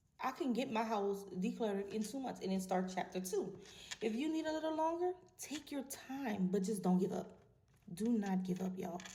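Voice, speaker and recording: Her tone dark, mellow and somewhat breathy, a woman talks at a moderate pace at a medium pitch with very wide pitch swings. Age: 40s. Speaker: vlogger. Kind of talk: casual monologue to camera.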